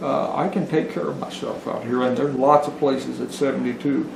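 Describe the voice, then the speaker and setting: Noticeable background noise and audible room echo surround a man's fairly high voice. He talks at a moderate pace with ordinary pitch variation. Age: 70s. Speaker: homesteader and village postmaster. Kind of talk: interview. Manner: halting, repeats words.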